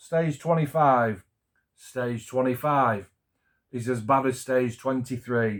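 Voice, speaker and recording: This man has a Yorkshire accent and ordinary pitch variation. The recording is very clean, with a silent background. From Yorkshire, England. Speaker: scale model builder. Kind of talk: casual talk to camera.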